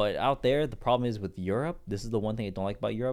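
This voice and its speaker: This man has an unremarkable speaking voice, fairly low in pitch with ordinary pitch variation. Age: 20s. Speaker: entrepreneur and online seller. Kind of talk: casual chat.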